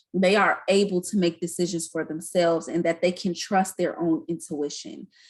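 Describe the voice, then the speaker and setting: A woman speaks in an ordinary speaking voice at a moderate pace. Her pitch is fairly low, with ordinary pitch variation. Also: quiet background. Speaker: community educator. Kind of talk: online training presentation.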